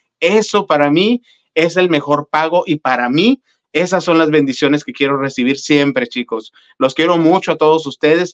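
Against a quiet background, a fairly high-pitched man at a moderate pace with ordinary pitch variation. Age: middle-aged. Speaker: gossip livestream co-host. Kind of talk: casual livestream chat. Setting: livestream from home. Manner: animated. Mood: warm, grateful. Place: home room. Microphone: webcam.

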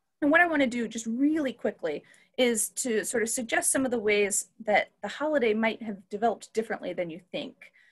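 Against a quiet background, a woman talks at a fairly quick pace with a fairly high pitch and lively intonation. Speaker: history professor and moderator. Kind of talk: panel moderation. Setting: video call. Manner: animated. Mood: warm, enthusiastic. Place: home room. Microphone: webcam.

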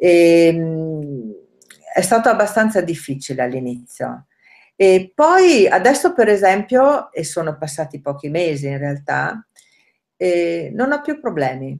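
A woman talks very slowly in a fairly low voice with very wide pitch swings and long, frequent pauses against a quiet background. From northern Italy, Rovereto (Trentino); Trentino, Italy. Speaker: language learner, nanny; interviewee. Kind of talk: interview. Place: kitchen. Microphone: webcam.

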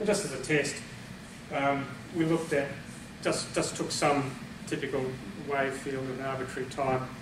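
A man talks fairly quickly and with fairly even intonation as noticeable background noise continues. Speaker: presenter. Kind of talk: lecture. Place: meeting room. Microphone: camera far.

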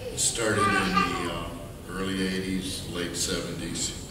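A man speaks in a very deep, low voice with flat, monotone intonation. Noticeable background noise and audible room echo surround him. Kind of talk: memorial speech. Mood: warm, reminiscing. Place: church. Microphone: podium.

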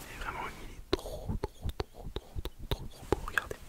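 Whispering, a man speaks at a fairly slow pace. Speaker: ASMR creator. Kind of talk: ASMR unboxing. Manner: whispered. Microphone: studio mic.

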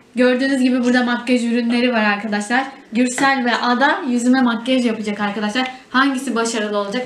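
A woman talks at a fairly quick pace in a high voice with fairly even intonation, with audible room echo and light background noise. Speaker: family vlogger. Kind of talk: casual vlog chat. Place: home room. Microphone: camera far.

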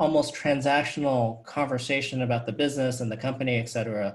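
Somewhat breathy, a man speaks at a fairly quick pace with a fairly high pitch. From New York City. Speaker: venture capitalist; guest. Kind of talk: fireside chat interview. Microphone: earbuds.

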